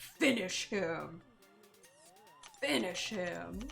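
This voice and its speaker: A woman uses a booming, put-on character voice at a fairly low pitch. Clear music plays in the background. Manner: dramatic.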